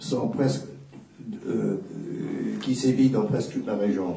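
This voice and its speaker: A man speaks with a non-native accent. Noticeable background noise and audible room echo fill the recording. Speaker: war correspondent. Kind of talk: panel talk.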